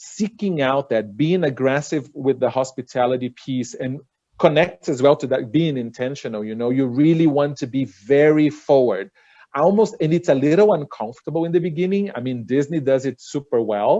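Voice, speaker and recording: A man with a Portuguese accent speaks at a fairly high pitch. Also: ordinary pitch variation, moderate pace. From Brazil. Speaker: cruise line director. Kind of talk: panel webinar discussion.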